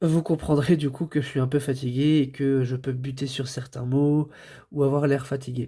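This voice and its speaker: A man's fairly high, somewhat breathy voice with a dark, mellow tone, flat monotone intonation and a moderate pace, in a very clean recording with a silent background. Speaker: toy reviewer. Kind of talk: product review. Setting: home recording, late at night. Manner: hesitant, many fillers.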